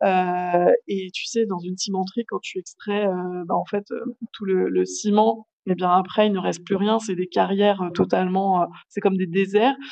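Her pitch sits in the medium range for a woman. She speaks fairly slowly with fairly even intonation. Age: 40s. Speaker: cosmetics company founder. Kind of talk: interview. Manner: hesitant, many fillers.

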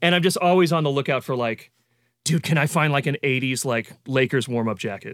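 A man with a plain, everyday voice and fairly high pitch talks at a fairly quick pace with ordinary pitch variation, on a very clean recording with a silent background. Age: 40s. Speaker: session drummer. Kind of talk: casual chat.

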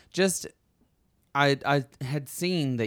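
The recording is very clean, with a silent background. A man speaks in a Southern US accent with ordinary pitch variation. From Alabama. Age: 30s. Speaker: podcast host. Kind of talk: casual chat.

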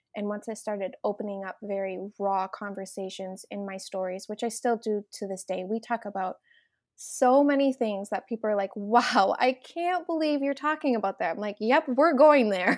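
Woman in a Minnesotan accent, fairly high pitch, lively intonation, moderate pace, very clean recording with a silent background. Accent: Minnesotan, noticeable. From Minnesota, US. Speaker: mom influencer, entrepreneur. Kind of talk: podcast interview, casual chat.

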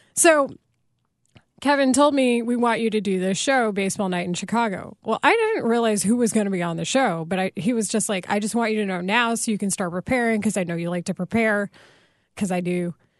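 Using a normal speaking voice with an American accent, a woman talks in a fairly high pitch with ordinary pitch variation. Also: quiet background. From Texas. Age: 30s. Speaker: sportscaster. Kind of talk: casual interview.

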